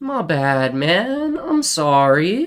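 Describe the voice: A female-sounding put-on character voice, raspy and fairly low-pitched, moves through very wide pitch swings.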